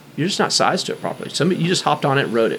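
The speaker talks at a very fast pace with an American accent and ordinary pitch variation. Background noise is noticeable. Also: man. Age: 50s. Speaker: bike shop owner. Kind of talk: casual interview.

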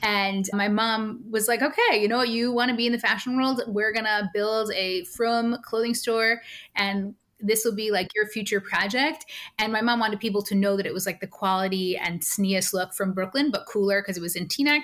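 A woman with an American accent speaks in a plain, everyday voice at a fairly high pitch. Her pace is moderate and her intonation fairly even. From New York (Monsey). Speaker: university administrator. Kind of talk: personal interview testimony.

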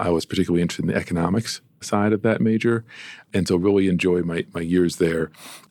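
Very deep and low, a man's dark, mellow voice moves at a very fast pace with ordinary pitch variation over a very clean recording and a silent background. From Massachusetts (Amherst). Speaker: city planning director. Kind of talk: interview. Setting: studio.

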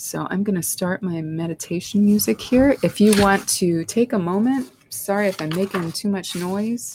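A woman with a plain, everyday voice, fairly low pitch and lively intonation, on a very clean recording with a silent background and a dry, close sound with no echo. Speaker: spiritual life coach and medium host. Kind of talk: guided meditation, calm soothing instructions over background music. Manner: slow, soft-spoken, gentle, unhurried pacing with pauses; reassuring, soothing, calm.

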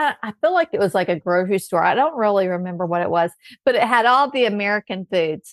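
With a Southern US accent, a woman talks at a fairly quick pace in a medium pitch with lively intonation, in a dry, close sound with no echo. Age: 50s. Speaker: health coach. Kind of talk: casual chat. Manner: warm.

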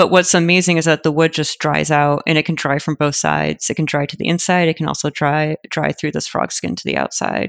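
A woman with an American accent, very deep and low-pitched with vocal fry, fairly quick and monotone, with hardly any pauses against a quiet background. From Michigan (Detroit area). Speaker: architect, project manager. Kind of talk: interview.

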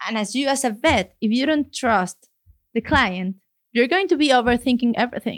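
A woman speaks at a moderate pace with a high pitch and lively intonation. Her recording is very clean and dry, close, with a silent background and no echo. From Mexico City, Mexico. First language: Spanish. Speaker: veterinarian. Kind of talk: casual interview. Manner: laughs often.

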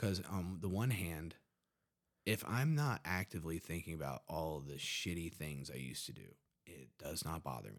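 This man's pitch is very deep and low, with vocal fry. His intonation is lively. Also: moderate pace. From West Virginia, Huntington. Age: 30s. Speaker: army veteran in addiction recovery. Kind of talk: casual interview, personal testimony.

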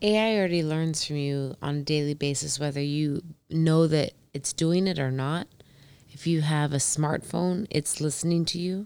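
A woman speaks with an American accent at a very deep, low pitch. Her pace is moderate and her intonation fairly even. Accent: noticeable to others. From Indiana. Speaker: physician. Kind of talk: casual chat. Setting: at her home.

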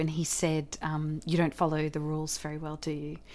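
A woman speaks with a very deep, low pitch at a moderate pace. The recording is very clean, with a silent background. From Australia. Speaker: actor and theatre director. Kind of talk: interview.

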